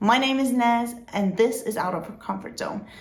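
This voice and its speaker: Audible room echo surrounds a woman with a non-native accent. Her fairly high voice is somewhat breathy and has ordinary pitch variation. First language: not English. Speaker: vlogger. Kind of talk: informational vlog.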